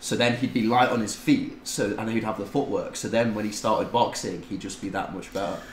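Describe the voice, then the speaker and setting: A man with a British accent talks at a fairly quick pace, with hardly any pauses and fairly even intonation. Audible room echo and light background noise come through. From UK. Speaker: tattoo client; podcast guest. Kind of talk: casual chat. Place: home room.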